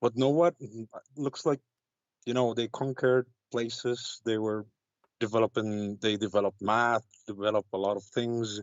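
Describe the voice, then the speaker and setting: A man with an Arabic accent speaks at medium pitch and a moderate pace with fairly even intonation. He leaves long, frequent pauses. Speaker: caller. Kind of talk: call-in debate. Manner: halting.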